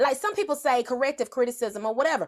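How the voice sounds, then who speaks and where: A woman with a strong Southern US accent speaks loudly in an animated tone. Her pitch swings very widely. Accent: Southern drawl, strong. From US South. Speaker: motivational speaker. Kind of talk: motivational livestream talk.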